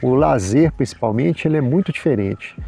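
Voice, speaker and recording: Very wide pitch swings around a medium male register. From Minas Gerais, Brazil. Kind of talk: casual chat answering viewer comments.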